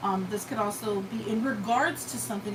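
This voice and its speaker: Fairly quick speech from a woman, clear background noise and room echo audible. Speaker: tarot reader. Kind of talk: live tarot reading. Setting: live stream. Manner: casual, conversational.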